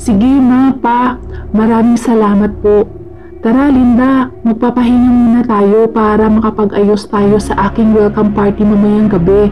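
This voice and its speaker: Over noticeable background noise, a woman with a fairly high voice speaks at a fairly slow pace, with fairly even intonation and very even loudness. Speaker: storyteller. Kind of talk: horror story narration with character dialogue.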